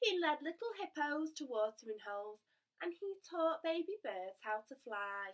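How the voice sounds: Quiet surrounds the recording. In it is a natural reading voice.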